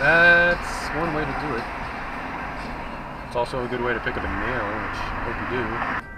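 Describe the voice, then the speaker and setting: Loud background noise runs behind a man talking at a moderate pace with ordinary pitch variation. The sound is dry, with no echo. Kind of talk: driving commentary, ranting at other drivers. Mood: irritated, sarcastic. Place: car. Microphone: camera far.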